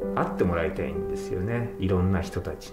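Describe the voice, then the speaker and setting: A man talks over loud music in the background. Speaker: theater director. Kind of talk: interview answer. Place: home room.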